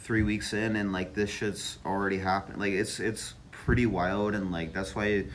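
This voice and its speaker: A man speaks with hardly any pauses in a fairly low, monotone voice, with audible room echo around him. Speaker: vlogger. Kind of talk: casual vlog monologue. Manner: halting, many fillers; slow, delayed.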